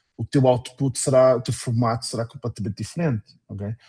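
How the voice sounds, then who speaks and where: The sound is dry and close with no echo. A man speaks in a somewhat breathy voice at medium pitch, with ordinary pitch variation. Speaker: workshop facilitator. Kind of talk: online workshop Q&A. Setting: video call.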